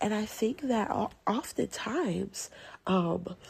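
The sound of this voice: Slowly, a woman speaks at a medium pitch with a husky, rough edge and vocal fry. Her tone is slightly mellow and her intonation lively.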